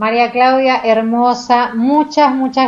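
Her high voice moves at a very slow pace, the woman's intonation fairly even throughout. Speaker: radio host. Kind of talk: radio interview.

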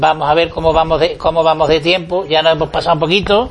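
At a fairly quick pace, a man speaks in a high pitch with monotone, flat intonation. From Andalusia, Huelva. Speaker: radio host. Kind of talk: radio interview show.

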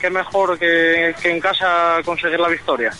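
A man with a high pitch speaks at a fairly slow pace over noticeable background noise. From Spain, Asturias. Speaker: motocross rider. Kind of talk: radio interview.

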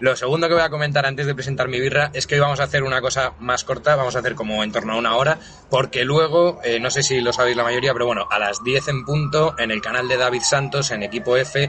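Music plays in the background. A man talks at a very fast pace with medium pitch. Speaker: podcast co-host. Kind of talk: casual chat.

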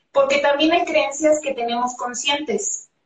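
A woman talks with ordinary pitch variation. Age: 40s. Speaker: personal development coach and healing therapist. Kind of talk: live-streamed interview.

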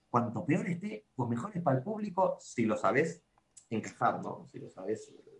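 A man's fairly high voice, somewhat breathy, with very wide pitch swings, big jumps in loudness and a moderate pace. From Argentina. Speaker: magician and clown. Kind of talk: casual interview. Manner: halting, repetitive.

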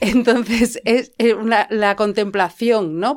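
A woman speaks at a fairly slow pace with a Madrid accent. The recording is very clean, with a silent background. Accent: Castilian Spanish (Madrid). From Spain, Madrid. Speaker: playwright. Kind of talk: casual chat. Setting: improvised home studio in a fitting room.

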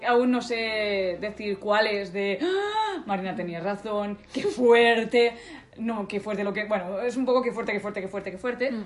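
The speech moves at a fairly slow pace with fairly even intonation. Noticeable background noise sits behind it. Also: woman, fairly high pitch for a woman. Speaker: podcast co-host. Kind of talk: casual chat. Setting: at a co-host's home.

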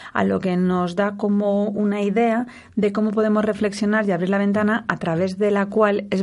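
A woman with a normal speaking voice talks at medium pitch and a moderate pace. Her intonation is fairly even, and the background is quiet. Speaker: radio host and sexologist. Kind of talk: radio talk show interview. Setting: radio studio.

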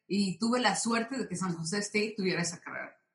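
Her voice at a medium pitch, a woman races along at a very fast pace. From Mexico City. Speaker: aerospace engineer. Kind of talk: interview.

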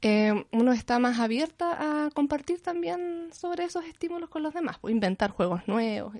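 Against a quiet background, a woman with a high pitch talks at a moderate pace with hardly any pauses, very wide pitch swings and big swings in loudness. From Chile, Concepción. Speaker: visual artist and art teacher. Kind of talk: interview. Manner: halting.

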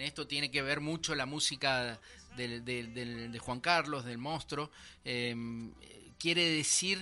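Over a quiet background, a man talks at a fairly slow pace in a bright, sharp tone. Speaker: radio host. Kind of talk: radio history presentation and interview.

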